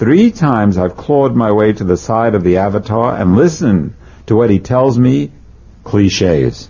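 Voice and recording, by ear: A natural-sounding voice reading a text aloud.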